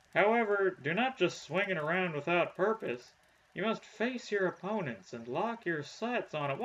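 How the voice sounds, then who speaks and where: A man puts on a character voice with a high pitch. He keeps a moderate pace. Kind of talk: comic overacting. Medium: game stream.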